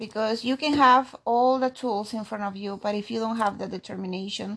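This speaker has a Peruvian accent and ordinary pitch variation. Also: woman. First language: Spanish. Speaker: immigrant interviewee, aspiring nurse. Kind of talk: interview. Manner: halting.

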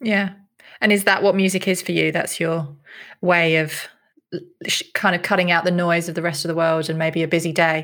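Monotone and flat, a woman's fairly low voice comes with long, frequent pauses. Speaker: podcast co-host and head of production. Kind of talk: casual chat with scripted intro.

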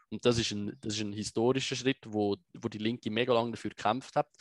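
The voice is monotone with flat intonation, recorded in a dry, close sound with no echo. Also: man. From Switzerland, Biel and Zurich lake area. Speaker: political activist and video explainer. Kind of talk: interview conversation.

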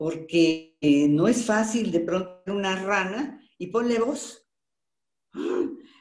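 A woman at medium pitch speaks at a very slow pace with very wide pitch swings. Audible room echo surrounds her voice. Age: 70s. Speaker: voice actress. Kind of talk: interview. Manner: animated.

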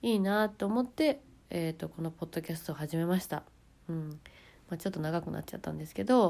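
This woman has an unremarkable speaking voice, fairly low in pitch, with lively intonation. The recording is very clean, with a silent background. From Japan. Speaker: podcaster and YouTuber. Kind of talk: casual monologue.

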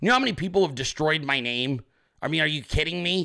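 A man is shouting loudly with a fairly high pitch. His tone is bright and sharp, with lively intonation. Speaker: political podcast host. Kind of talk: political commentary monologue. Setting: home office, live video stream. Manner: loud, yelling.

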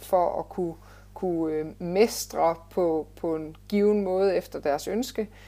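This woman's voice sits at a medium pitch and moves with ordinary pitch variation. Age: 30s. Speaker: fitness and life coach, former nurse. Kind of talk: interview. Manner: hesitant, many filler sounds.

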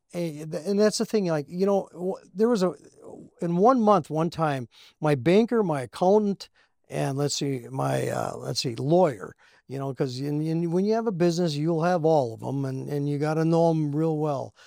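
A man with an American accent speaks at a moderate pace with a fairly high pitch, a dark, mellow tone and lively intonation. The recording is very clean, with a silent background. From US Midwest, Minnesota Iron Range. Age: 70s. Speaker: store owner and former rock musician. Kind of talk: casual chat.

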